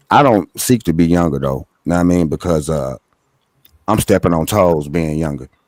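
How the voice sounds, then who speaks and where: This man's voice is very deep and low, captured with a dry, close sound and no echo. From Philadelphia, US. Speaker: livestream host. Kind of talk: casual chat.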